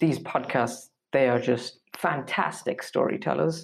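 A man's very slow delivery, with vocal fry and ordinary pitch variation. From India. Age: 20s. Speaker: design graduate and podcaster. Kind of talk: casual interview chat. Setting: remote call. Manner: hesitant with many fillers.

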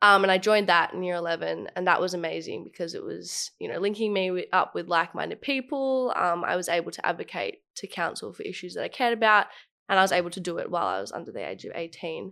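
A woman with an Australian accent speaks very fast on a very clean recording with a silent background. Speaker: youth leader. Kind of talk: casual chat.

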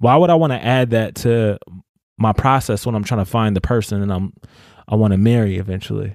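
In a very clean recording with a silent background, a man with an unremarkable speaking voice talks fairly quickly at a fairly low pitch. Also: ordinary pitch variation. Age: 30s. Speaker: spoken word artist and teacher. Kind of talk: casual chat.

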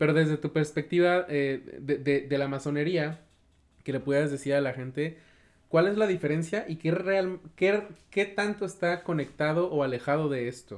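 A man with an ordinary speaking voice talks at a moderate pace, his fairly high pitch showing ordinary variation. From Mexico, Cortázar (Guanajuato). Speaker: podcast host. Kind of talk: interview conversation.

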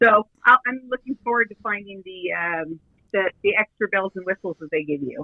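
With an American accent, a woman talks at a moderate pace in a plain, everyday voice at medium pitch, her loudness swinging widely. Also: lively intonation. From Southern California. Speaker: actress and filmmaker. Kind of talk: casual interview.

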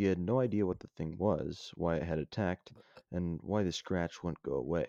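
A man speaks with a very deep, low pitch and a dark, mellow tone, his intonation lively at a moderate pace. The sound is dry and close with no echo against a quiet background. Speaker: co-host and co-author. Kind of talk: casual banter, then reading a story aloud in dramatic narration. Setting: remote recording. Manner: sarcastic, sassy, joking; in narration, urgent and dramatic.

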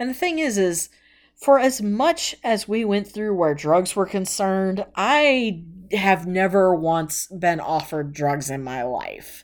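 A woman with an American accent speaks very slowly at a medium pitch, her voice swinging very widely. The recording is very clean, with a silent background. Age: 30s. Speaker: podcast host. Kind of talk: personal monologue. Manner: casual, rambling with fillers.

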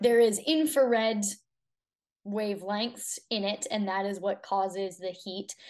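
With fairly even intonation, an unremarkable speaking voice proceeds at a fairly slow pace. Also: woman. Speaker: fitness coach. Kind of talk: interview.

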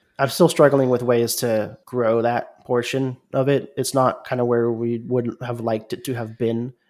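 Speaking at a moderate pace with hardly any pauses, a man with an American accent keeps his medium-pitched voice monotone and flat. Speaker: podcaster and streamer. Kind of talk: interview conversation.

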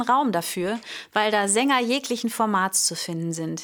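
In a very clean recording with a silent background, a woman talks at a moderate pace with a fairly high pitch and lively intonation. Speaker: vocal coach and singer. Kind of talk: solo podcast monologue on singing.

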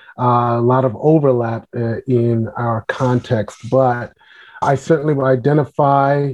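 There is a New York accent in this man's speech. His voice sits at a medium pitch with fairly even intonation. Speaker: pastor and author. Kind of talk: interview.

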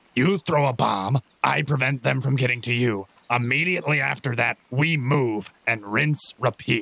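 A man puts on a character voice at medium pitch with ordinary pitch variation. He goes at a moderate pace, and the sound is dry and close with no echo. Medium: actual play. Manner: brisk, commanding.

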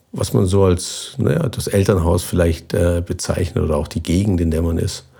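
Over noticeable background noise, a man talks at a moderate pace in a very deep, low pitch with ordinary pitch variation. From southern Germany, near Basel on the Swiss border. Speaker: expedition sailor and former navy navigator. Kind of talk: interview.

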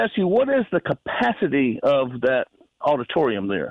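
A man with a Southern US accent, fairly high in pitch, with very wide pitch swings. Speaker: caller. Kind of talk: casual chat. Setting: phone call.

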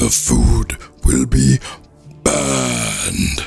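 A man puts on a raspy character voice pitched very deep and low. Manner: roaring, loud.

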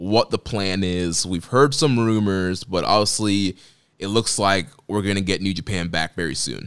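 At a fairly slow pace, a man with a normal speaking voice and fairly low pitch uses ordinary pitch variation in a very clean recording with a silent background. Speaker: podcast host. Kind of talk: casual chat.

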